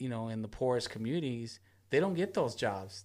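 The speaker is a man with an American accent. His pitch is medium. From Long Beach, California. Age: 40s. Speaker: community activist. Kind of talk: casual chat.

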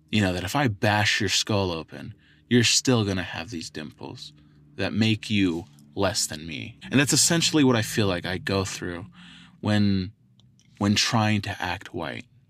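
In a very clean recording with a silent background, a man with an American accent uses a normal speaking voice, fairly low in pitch, with lively intonation at a fairly slow pace. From Southern California, Oceanside. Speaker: podcast host. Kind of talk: casual solo podcast monologue.

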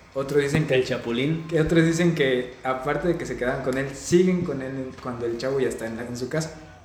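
Moderate-paced speech from a man with a fairly high voice and ordinary pitch variation, plus noticeable background noise and audible room echo. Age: 20s. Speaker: podcast co-host, psychology student. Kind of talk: casual chat.

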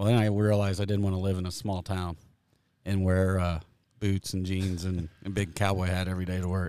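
Speaking fairly quickly in a flat monotone, this voice carries a US Midwestern accent on a very clean recording with a silent background. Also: man, very deep, low pitch for a man. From Kansas, US Midwest. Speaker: golf course superintendent. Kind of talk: interview. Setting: outdoors by a golf green.

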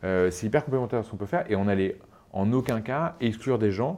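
A man speaks at a moderate pace with ordinary pitch variation, in an ordinary speaking voice. The background is quiet. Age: 30s. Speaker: startup CEO and co-founder. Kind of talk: interview.

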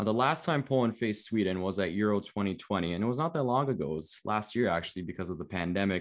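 Talking very fast with hardly any pauses, a man with a Canadian accent uses a fairly low pitch and lively intonation against a quiet background. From Canada, Toronto. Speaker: podcast host. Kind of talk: casual chat.

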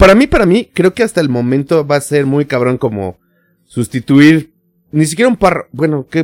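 Lively intonation from a man at fairly high pitch and moderate pace, in a dry, close sound with no echo. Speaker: podcast co-host. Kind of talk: casual chat. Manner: gets loud when excited.

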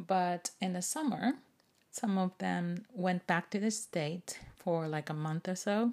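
A woman with a Japanese accent, medium-pitched, in a relaxed tone, at a very slow pace with ordinary pitch variation. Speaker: podcast host and English teacher. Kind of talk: casual bilingual monologue. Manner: relaxed, unhurried.

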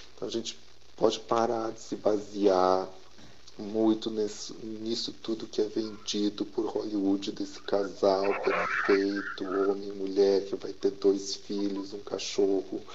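Over noticeable background noise, a man with a fairly low pitch speaks at a very slow pace in a monotone, flat intonation. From small-town Rio Grande do Sul. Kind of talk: testimony.

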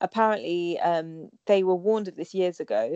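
Her tone is dark and mellow, her intonation fairly even at a moderate pace. The woman's sound is dry and close with no echo. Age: young. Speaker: stand-up comedian and podcaster. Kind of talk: casual chat. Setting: remote call.

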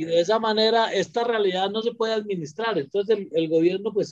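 A man talks at a moderate pace. His voice is high in pitch, with ordinary pitch variation. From Colombia. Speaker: quality assurance executive. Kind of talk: panel discussion.

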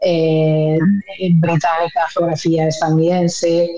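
A woman speaks with a fairly low pitch. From Spain, Madrid. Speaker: journalist and news anchor. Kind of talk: interview. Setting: remote call.

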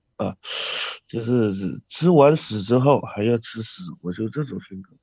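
In a dry, close recording with no echo, a man of medium pitch speaks with a dark, mellow tone and lively intonation. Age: 20s. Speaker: caller to a live online advice show. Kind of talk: call-in chat about personal problems. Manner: halting, hesitant with many fillers.

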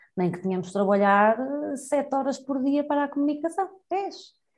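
Her voice is somewhat breathy, and this woman's pitch swings very widely. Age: 30s. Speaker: education professional, youth entrepreneurship trainer. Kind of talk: interview conversation.

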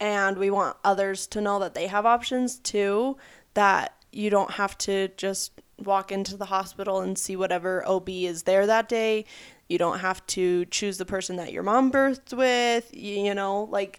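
A woman speaks at a fairly slow pace in an unremarkable speaking voice, her medium pitch held to a fairly even intonation. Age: 20s. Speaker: podcast co-host. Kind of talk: casual chat.

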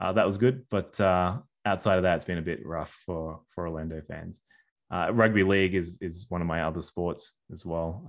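With an Australian accent, a man speaks at a moderate pace in a very deep, low pitch with ordinary pitch variation. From Sydney, Australia, of New Zealand Māori parents. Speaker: sports media and digital strategy executive. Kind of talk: casual interview. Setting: at home, remote call.

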